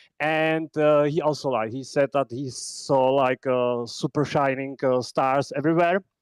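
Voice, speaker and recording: A man with a Czech accent at a fairly slow pace with hardly any pauses, fairly high in pitch with fairly even intonation, in a dry, close sound with no echo against a quiet background. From Czech Republic. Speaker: podcaster, content creator. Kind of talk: call-in comment on live audio space. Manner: halting, many fillers.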